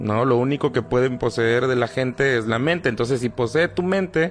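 A man talks at a moderate pace with ordinary pitch variation while music plays in the background. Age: 30s. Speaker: podcast guest. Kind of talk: casual chat about paranormal experiences. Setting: live stream.

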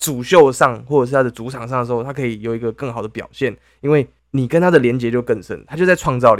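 On a very clean recording with a silent background, a man with a Taiwanese accent speaks at a very fast pace with big swings in loudness and ordinary pitch variation. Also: medium pitch for a man. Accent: Taiwanese Mandarin. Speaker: podcast co-host. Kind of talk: casual chat.

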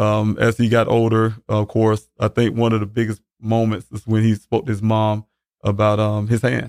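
In a South Carolina accent, a man with a fairly low pitch speaks at a moderate pace in a monotone, flat intonation, on a very clean recording with a silent background and a dry, close sound with no echo. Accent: South Carolina Southern US. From US South, Columbia, South Carolina. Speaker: father of a missing man, military veteran. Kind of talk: interview about a missing son. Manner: halting, many fillers.

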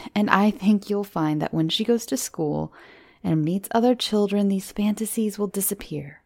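This clip is reading aloud in a natural voice.

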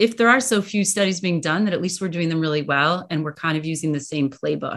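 A woman speaks in an unremarkable speaking voice, fairly low in pitch with ordinary pitch variation. The background is quiet. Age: 50s. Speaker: sports medicine physician. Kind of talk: interview.

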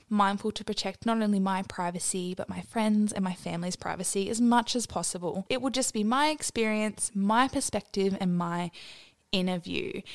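On a very clean recording with a silent background and a dry, close sound with no echo, a woman speaks at medium pitch. Her pace is moderate and her pitch variation ordinary. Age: 20s. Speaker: podcast host. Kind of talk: solo monologue. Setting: home living room.

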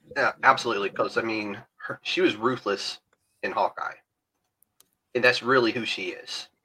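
Speaking in a Southern US accent, a man moves at a moderate pace with long, frequent pauses. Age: 40s. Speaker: podcast host. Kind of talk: casual chat. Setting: video call.

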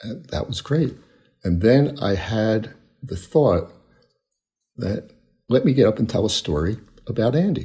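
A man's somewhat breathy, dark and mellow voice at medium pitch, with an American accent, a fairly slow pace, lively intonation and long, frequent pauses. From Philadelphia. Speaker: storyteller. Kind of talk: personal story. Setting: video call.

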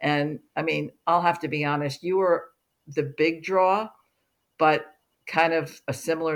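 A woman with an American accent, a very deep, low pitch and fairly even intonation, on a very clean recording with a silent background. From US Northeast, New Jersey (Livingston). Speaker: career coach and author. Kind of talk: interview.

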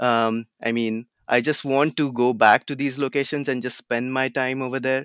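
Moving at a moderate pace, a man speaks at medium pitch with monotone, flat intonation. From India (Pune). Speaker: landscape photographer. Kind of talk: interview. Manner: halting, many filler words.

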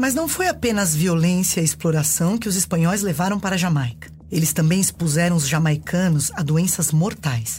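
A woman speaks in a plain, everyday voice at a moderate pace and very even loudness. Her pitch is fairly low, with ordinary variation. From Brazil. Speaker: actress and storyteller. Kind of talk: reading aloud.

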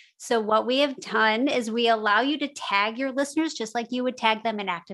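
A woman with an unremarkable speaking voice talks at a moderate pace and a fairly high pitch, with ordinary pitch variation and a quiet background. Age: 40s. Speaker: podcast software co-founder. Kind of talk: interview.

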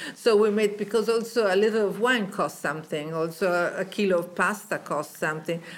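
Through noticeable background noise, a woman with an Italian accent speaks at a fairly quick pace at a medium pitch with ordinary pitch variation. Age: old. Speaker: fashion designer. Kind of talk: interview. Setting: designer's showroom.

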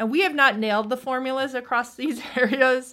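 A woman's normal speaking voice at a moderate pace with ordinary pitch variation, on a very clean recording with a silent background. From US East Coast. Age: 40s. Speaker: venture capitalist. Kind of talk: interview.

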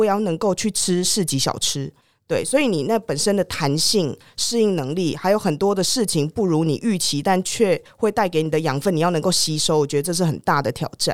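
In a very clean recording with a silent background, a woman speaks with a Taiwanese accent. Her medium-pitched voice moves at a moderate pace with lively intonation. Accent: Taiwanese Mandarin. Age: 30s. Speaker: former foreign correspondent, tech startup executive. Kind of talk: interview.

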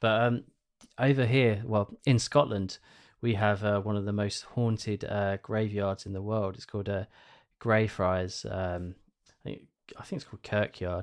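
At a moderate pace, a man with a fairly low pitch speaks in an unremarkable speaking voice, with fairly even intonation and big swings in loudness against a quiet background. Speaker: podcast co-host. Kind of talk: casual interview.

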